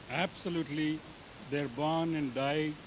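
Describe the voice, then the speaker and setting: Audible room echo surrounds a man who speaks with a Telugu accent, a fairly high pitch, and fairly even intonation. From India, Andhra Pradesh. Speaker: conference presenter. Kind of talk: conference talk.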